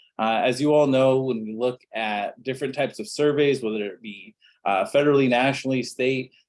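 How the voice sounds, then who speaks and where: This man talks at a fairly quick pace with medium pitch. His pitch variation is ordinary. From Phoenix, Arizona, US Southwest. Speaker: university statistics professor. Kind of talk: webinar presentation. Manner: halting, many fillers.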